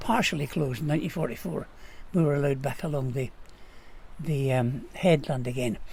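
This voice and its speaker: A man's fairly high-pitched, somewhat breathy voice at a moderate pace. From Scotland, Caithness (Wick). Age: 80s+. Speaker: local historian. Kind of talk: interview.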